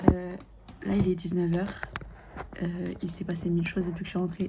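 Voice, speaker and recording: A woman speaks fairly quickly in a fairly low pitch while noticeable background noise carries on. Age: 20s. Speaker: lifestyle vlogger. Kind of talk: casual vlog monologue. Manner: animated.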